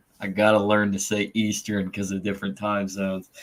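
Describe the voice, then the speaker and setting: A man with a Southern Indiana accent speaks at a fairly low pitch. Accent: southern Indiana twang. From southeastern Indiana, US. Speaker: podcast host. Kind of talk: casual panel chat.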